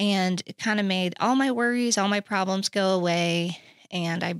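A woman's ordinary speaking voice at a medium pitch, with ordinary pitch variation and a moderate pace, in a very clean recording with a silent background and a dry, close sound with no echo. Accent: American. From Oklahoma City. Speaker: recovery ministry worker, former addict. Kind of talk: personal testimony in interview.

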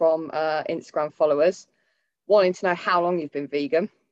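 A woman's fairly low voice with ordinary pitch variation, in a dry, close sound with no echo. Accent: Northamptonshire. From Northampton, England. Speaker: podcast host interviewing a trainer. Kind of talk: casual chat, interview. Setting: video call.

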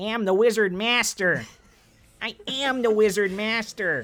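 In a put-on character voice, fairly high and nasal, the speaker goes at a fairly slow pace. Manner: grandiose, proclaiming.

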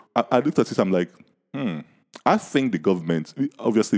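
A man speaks at a fairly quick pace. He has a Nigerian accent. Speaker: podcast host. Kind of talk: casual chat.

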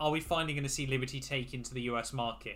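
A man with a British accent and a bright, sharp tone. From England. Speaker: F1 YouTuber and podcast host. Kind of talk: casual chat.

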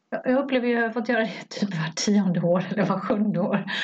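A woman with an ordinary speaking voice uses lively intonation and keeps a moderate pace. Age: 50s. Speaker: podcast co-host. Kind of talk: casual chat.

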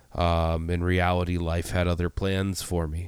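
A man with a very deep, low pitch speaks at a very slow pace on a very clean recording with a silent background. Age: 20s. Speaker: podcast host. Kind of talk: solo monologue, reflective casual talk. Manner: casual, filler-heavy with frequent repetitions.

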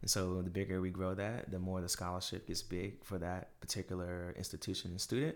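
The recording is very clean, with a silent background. A man with a very deep, low voice talks at a fairly quick pace with fairly even intonation. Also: hardly any pauses. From US South, Durham, North Carolina. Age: young. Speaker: realtor. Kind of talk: casual interview.

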